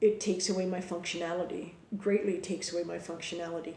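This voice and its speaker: There's audible room echo as a woman with a medium pitch speaks in a monotone, flat intonation. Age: adult. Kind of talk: personal explainer monologue. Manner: hesitant, many fillers and repetitions.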